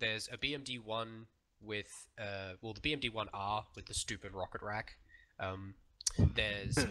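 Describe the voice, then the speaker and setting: A man's fairly low voice with a bright, sharp tone at a fairly slow pace. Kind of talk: briefing to teammates.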